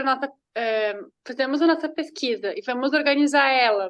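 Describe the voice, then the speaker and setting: A woman speaks with a Portuguese accent at a high pitch. Her pace is moderate and her pitch varies in an ordinary way. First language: Portuguese (speaking Spanish). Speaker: graduate student. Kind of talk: question in online seminar.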